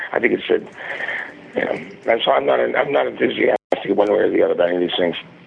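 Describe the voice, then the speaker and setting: Very fast talk from a man over noticeable background noise. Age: 60s. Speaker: film producer and graphic designer. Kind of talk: interview. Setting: phone call.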